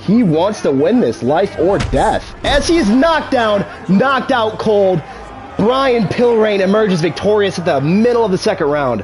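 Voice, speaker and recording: A man's animated, high-pitched voice at a moderate pace, very wide pitch swings, very even loudness, audible room echo and noticeable background noise. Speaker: gaming streamer. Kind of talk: mock fight commentary over video game.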